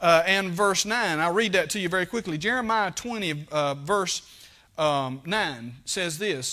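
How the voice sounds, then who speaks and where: A raised, projected voice with a bright, sharp tone and lively intonation moves at a fairly slow pace over a quiet background. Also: man. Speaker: preacher. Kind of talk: sermon. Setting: church. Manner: plainspoken, fervent Baptist pulpit delivery. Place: church.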